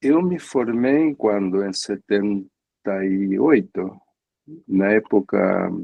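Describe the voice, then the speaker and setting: Delivered at a very slow pace, the speech has ordinary pitch variation and long, frequent pauses. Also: man, fairly low pitch for a man. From Argentina, San Isidro near Buenos Aires. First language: Spanish (speaking Portuguese). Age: 70s. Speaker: psychoanalyst. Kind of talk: interview conversation. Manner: halting, with hesitations.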